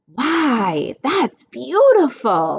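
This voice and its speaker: Here a woman uses a put-on character voice. It is high in pitch. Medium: read story.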